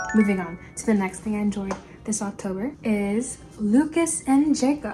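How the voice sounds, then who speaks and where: Music plays behind a woman speaking. She has a medium pitch and keeps a moderate pace. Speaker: lifestyle vlogger. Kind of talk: casual chat. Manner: soft-spoken.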